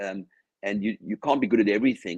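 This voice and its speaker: Lively in intonation, a man with an Australian accent speaks at a fairly low pitch, the sound dry and close with no echo. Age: 60s. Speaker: business founder and company chair. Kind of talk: interview.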